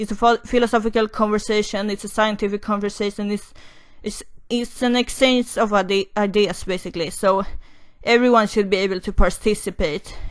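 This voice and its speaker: At a fairly quick pace, a woman with a non-native accent talks in a medium pitch and a flat, monotone delivery. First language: not English. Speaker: YouTuber, commentary vlogger. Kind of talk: opinion monologue. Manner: halting, many fillers and restarts.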